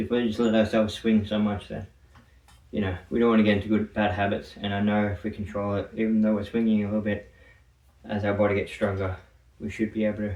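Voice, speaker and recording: The delivery is very fast and monotone, with flat intonation broken by long, frequent pauses. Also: man, fairly low pitch for a man. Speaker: fitness vlogger. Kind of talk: casual workout vlog. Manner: slurred words.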